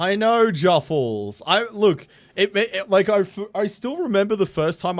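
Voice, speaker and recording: Moderate pace from a man with an Australian accent. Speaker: game streamer. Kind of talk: casual chat. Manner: animated.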